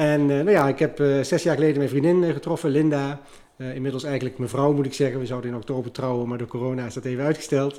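Speaking at a very fast pace, a man has a dark, mellow tone and fairly even intonation. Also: fairly high pitch for a man. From Netherlands, Liemers (Gelderland). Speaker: restaurant owner. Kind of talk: interview. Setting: at his restaurant.

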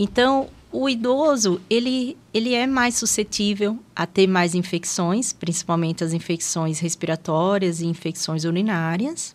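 In a plain, everyday voice, a woman at medium pitch talks at a fairly slow pace with hardly any pauses and lively intonation. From Sergipe, northeastern Brazil (Aracaju). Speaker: geriatrician. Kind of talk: casual interview.

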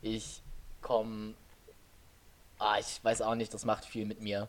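A man with a fairly low pitch talks at a fairly slow pace. His tone is calm yet bright and sharp. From western Germany, Oberbergisches Land. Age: 20s. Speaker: podcast co-host. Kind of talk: casual chat. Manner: low-energy, calm.

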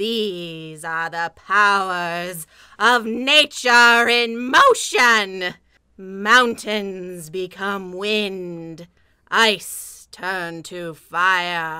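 Using a put-on character voice, a female-sounding speaker talks at a very slow pace with a medium pitch. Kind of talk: comic spooky overacting. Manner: theatrical incantation, creepy.

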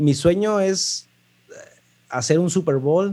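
A dark, mellow tone at a very slow pace, with a Mexican accent. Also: man. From Mexico, Puerto Vallarta. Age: 20s. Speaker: lighting designer. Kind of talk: interview. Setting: remote call.

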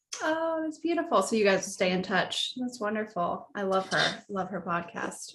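Amid noticeable background noise, a woman with an American accent speaks at a moderate pace in a medium pitch with very wide pitch swings. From US South. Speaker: podcast host and financial professional. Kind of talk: interview.

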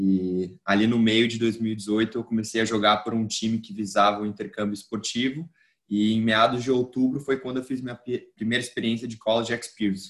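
He talks at a fairly quick pace, keeping his intonation fairly even. The man has an unremarkable speaking voice with a medium pitch. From Brazil. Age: 20s. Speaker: newsletter founder and student. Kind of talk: casual interview.

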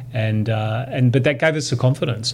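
A man's medium-pitched voice in an Australian accent at a very fast pace, with noticeable background noise. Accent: local Australian. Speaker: lawyer and author. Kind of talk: casual interview. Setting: in person.

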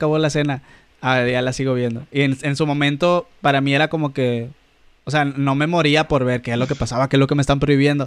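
A man talks at a very fast pace. His pitch is fairly high and his intonation monotone and flat. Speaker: podcast co-host. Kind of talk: casual chat.

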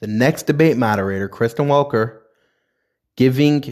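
An animated man with an American accent, at a moderate pace with ordinary pitch variation, on a very clean recording with a silent background. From New York. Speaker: political podcast host. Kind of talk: opinion commentary monologue.

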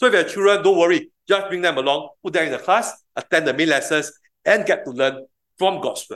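A man talks at a fairly quick pace in a high pitch. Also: ordinary pitch variation. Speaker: preacher. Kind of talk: sermon. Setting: church. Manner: fast talker.

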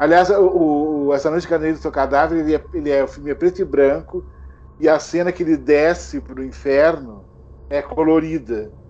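A man's fairly quick speech comes with noticeable background noise behind it. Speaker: horror film YouTuber. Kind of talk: casual chat. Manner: halting, repeats words.

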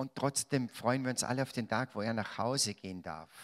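A man's animated, medium-pitched voice in a Salzburg accent, with ordinary pitch variation and a dry, close sound with no echo, on a very clean recording with a silent background. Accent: Austrian German (Salzburg). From Austria, Salzburg. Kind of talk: religious talk to a live audience.

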